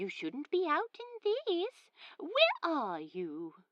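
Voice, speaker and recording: In a put-on character voice, a woman pitches herself extremely high and squeaky. Her pace is very slow. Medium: read story. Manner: warm, fussing.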